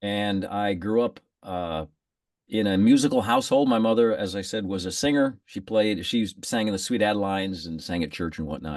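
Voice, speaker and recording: A man speaks with a Midwestern American accent at a moderate pace. His pitch is fairly low, with ordinary variation. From US Midwest, Fort Wayne, Indiana. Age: 60s. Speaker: saxophonist. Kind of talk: casual interview.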